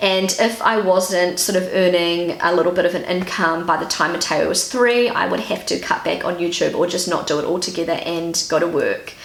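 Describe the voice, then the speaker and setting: A woman of medium pitch speaks in a relaxed tone with a New Zealand accent, at a moderate pace and with fairly even intonation. Noticeable background noise runs underneath. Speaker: YouTuber and stay-at-home mother. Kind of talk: casual talk to camera. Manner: relaxed, chatty.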